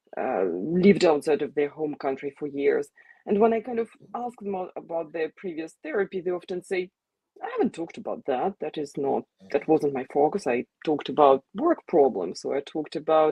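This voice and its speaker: This woman has a very deep, low voice and a Russian accent. Her intonation is lively and her pace fairly quick. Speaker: psychotherapist. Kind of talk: interview.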